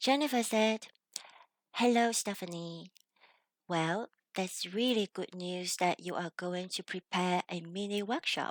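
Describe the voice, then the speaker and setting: Speaking at a fairly slow pace with long, frequent pauses, a woman with a Chinese accent uses a medium pitch, and the sound is dry and close with no echo. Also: ordinary pitch variation. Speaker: video creator reading a message aloud.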